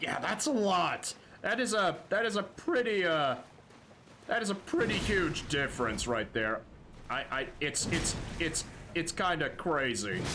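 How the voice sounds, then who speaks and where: Very wide pitch swings mark a man's bright, sharp voice at a fairly slow pace. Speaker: gaming streamer. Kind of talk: casual live gameplay commentary. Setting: livestream. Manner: animated, excitable; stammering, repeats words.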